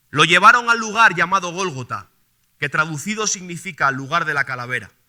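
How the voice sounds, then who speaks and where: In a very clean recording with a silent background, a man with a Castilian accent speaks at a high pitch in a bright, sharp tone. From Spain. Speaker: preacher. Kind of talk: sermon.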